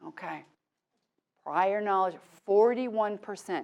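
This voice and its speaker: A woman's animated, medium-pitched voice at a fairly slow pace. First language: not English. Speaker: teacher trainer. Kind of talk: workshop lecture.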